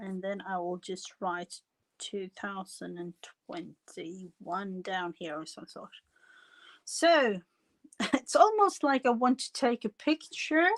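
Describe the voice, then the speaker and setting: In a very clean recording with a silent background and a dry, close sound with no echo, a speaker with a non-native accent talks at a very slow pace with long, frequent pauses, lively intonation and big swings in loudness. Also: woman, medium pitch for a woman. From foreign country, non-English-speaking. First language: not English. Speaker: crafting livestream host. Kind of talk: casual livestream chat while crafting. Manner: halting, many fillers.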